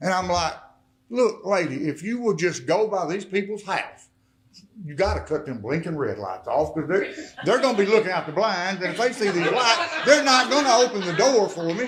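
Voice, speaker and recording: Animated in tone, a man talks with lively intonation in a high pitch. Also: moderate pace. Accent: Arkansas. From Arkansas. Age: 60s. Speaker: recovered addict and mayor giving testimony. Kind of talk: testimony. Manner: animated storytelling.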